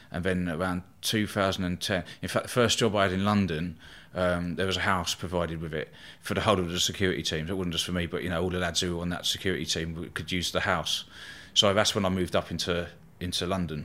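In a southern English accent, a man with a very deep, low pitch and a bright, sharp tone talks at a very fast pace in a flat monotone. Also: very clean recording, silent background. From southern England, Eastbourne, East Sussex. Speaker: bodyguard. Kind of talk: casual chat.

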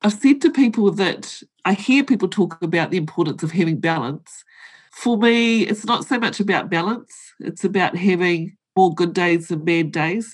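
A woman with a New Zealand accent, lively intonation and a moderate pace. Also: medium pitch for a woman, quiet background. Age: 50s. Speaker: board director and accountant. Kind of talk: interview.

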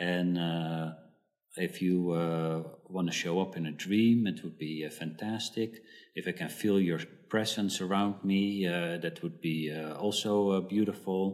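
Using a very deep, low voice and a Dutch accent, a man speaks fairly slowly with fairly even intonation. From Netherlands. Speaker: psychotherapist. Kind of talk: interview. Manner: halting, many fillers.

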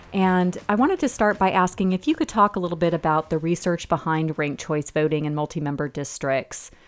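This is an ordinary speaking voice at a fairly quick pace. The recording is very clean, with a silent background. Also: woman. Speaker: podcast host. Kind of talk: interview.

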